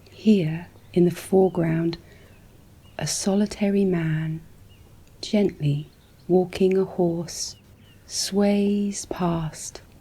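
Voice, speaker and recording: Soft-spoken delivery comes at a very slow pace, broken by long, frequent pauses. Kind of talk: ASMR relaxing description of landscape paintings. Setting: studio, close-mic ASMR. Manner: soft-spoken, slow, calming.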